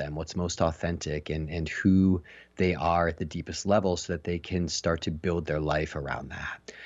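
Fairly even intonation at a moderate pace. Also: man. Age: 40s. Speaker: facilitator and coach. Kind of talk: casual interview. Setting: phone call.

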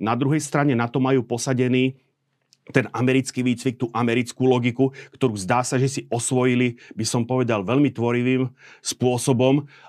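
In a very clean recording with a silent background, a man speaks at a moderate pace with a medium pitch and monotone, flat intonation. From Slovakia. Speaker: military analyst. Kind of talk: interview discussion. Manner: halting.

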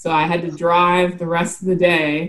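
A woman with an American accent, fairly low in pitch and at a moderate pace, an unremarkable speaking voice. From South Carolina. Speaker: marine biologist, shark scientist. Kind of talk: casual chat.

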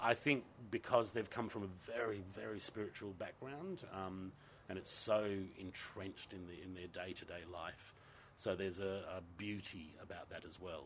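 A man with an Australian accent speaks at a moderate pace in a very deep, low voice, with ordinary pitch variation and big swings in loudness. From Western Australia (Gosnells, Perth). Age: 50s. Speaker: theatre director. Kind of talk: casual chat.

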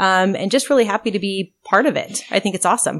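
A woman talks in a normal speaking voice at a medium pitch. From rural Oregon (Albany area). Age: 40s. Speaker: state legislator. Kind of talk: interview. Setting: on a farm.

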